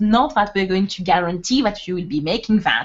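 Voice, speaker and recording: Speaking with a French accent, a woman uses ordinary pitch variation. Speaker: webinar co-host, network marketer. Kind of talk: motivational webinar talk. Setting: online webinar. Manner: animated.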